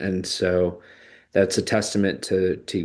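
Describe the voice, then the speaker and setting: A man with an American accent and a very deep, low pitch, fairly slow and monotone, flat in intonation, against a quiet background. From Chicago suburbs, US Midwest. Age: 30s. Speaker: vlogger, tech marketer. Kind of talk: personal reflection monologue. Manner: hesitant, many fillers.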